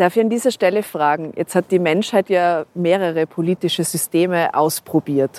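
A woman with a fairly low voice speaks at a moderate pace with hardly any pauses, ordinary pitch variation and very even loudness. The recording is very clean, with a silent background, and sounds dry and close with no echo. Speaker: podcast host. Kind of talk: interview. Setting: outdoors on a rooftop.

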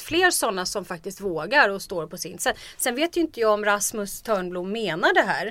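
Here is a woman with a normal speaking voice. Her pitch sits in the medium range. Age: 40s. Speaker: political commentator. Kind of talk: casual chat.

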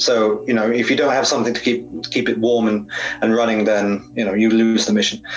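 With music playing behind him, a man speaks in a British accent. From Britain. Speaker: space industry journalist. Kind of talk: interview. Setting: home sauna.

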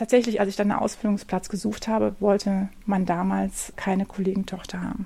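With hardly any pauses, a woman speaks in a somewhat breathy, dark, mellow tone and monotone, flat intonation. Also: medium pitch for a woman. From Germany, Wuppertal. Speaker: gardener and garden designer. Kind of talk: casual interview on a garden walk. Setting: outdoors in snowy nursery garden.

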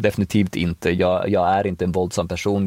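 At a fairly quick pace, a man speaks in a monotone with flat intonation. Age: 40s. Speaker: released prisoner. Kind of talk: interview. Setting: in a car.

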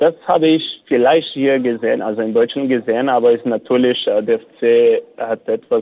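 A man with a Portuguese accent, dark and mellow in tone, at a fairly slow pace with fairly even intonation, the sound dry and close with no echo. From Brazil, São Paulo. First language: Portuguese (speaking German). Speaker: cycling activist. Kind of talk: interview. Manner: halting.

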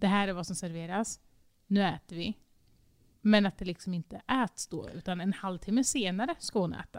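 A woman's plain, everyday voice at medium pitch, moderate pace and ordinary pitch variation, dry and close with no echo. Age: 20s. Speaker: podcast co-host. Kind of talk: casual chat. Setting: recording in an echoey, sparsely furnished dining room.

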